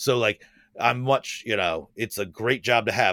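A man's bright, sharp voice at a fairly quick pace, recorded very clean, dry and close with no echo against a silent background. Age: 40s. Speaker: special makeup effects artist. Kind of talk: casual chat.

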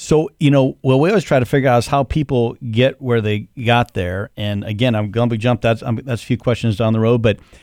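A man's medium-pitched, unremarkable speaking voice with ordinary pitch variation, dry and close with no echo, in a very clean recording with a silent background. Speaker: podcast host and accountant. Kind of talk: casual interview. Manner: jokey, playful.

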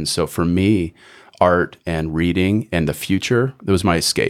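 The pitch of this man's voice is very deep and low. It is a very clean recording with a silent background. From Canada. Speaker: author and business coach. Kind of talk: casual interview chat.

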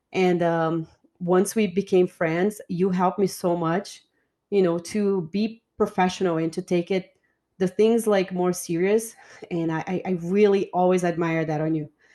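Speaking with a Portuguese accent at a fairly slow pace, a woman uses a monotone, flat intonation. Her voice is medium in pitch, with a dark, mellow tone. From Brazil. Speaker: podcast host. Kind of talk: casual chat. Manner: joking, laughs often.

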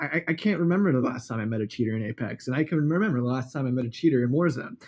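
A man with a normal speaking voice at medium pitch speaks with lively intonation. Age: 20s. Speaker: content creator and gamer. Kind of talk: casual chat.

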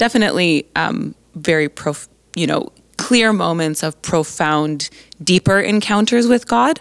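An unremarkable speaking voice from a woman with an American accent, fairly low in pitch, fairly slow, with lively intonation and a dry, close sound with no echo. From Colorado, US. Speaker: Bible college professor. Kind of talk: interview.

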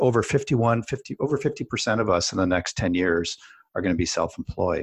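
Against a quiet background, a man with a Canadian accent speaks with ordinary pitch variation. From Canada. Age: 50s. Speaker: podcast host. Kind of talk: casual chat.

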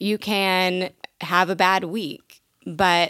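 On a very clean recording with a silent background, a woman with an American accent has a bright, sharp tone and vocal fry. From Michigan, small town. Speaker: podcast co-host. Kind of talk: casual interview.

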